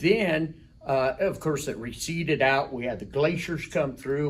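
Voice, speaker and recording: This man has a fairly high, somewhat breathy voice with an American accent. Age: 60s. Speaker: rock shop owner. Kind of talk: interview.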